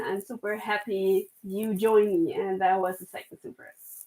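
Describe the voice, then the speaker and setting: With a German accent, a woman talks at a moderate pace. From Germany. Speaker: knitwear designer. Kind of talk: casual chat. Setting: live stream. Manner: halting.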